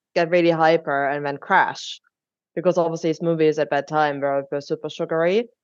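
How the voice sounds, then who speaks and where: A woman with a German accent speaks at a moderate pace, her fairly low pitch held in fairly even intonation. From Germany. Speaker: drinks company co-founder. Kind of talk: podcast interview.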